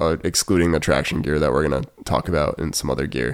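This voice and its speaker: At a very fast pace, a man talks with vocal fry. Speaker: podcast host. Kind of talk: casual chat. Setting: studio.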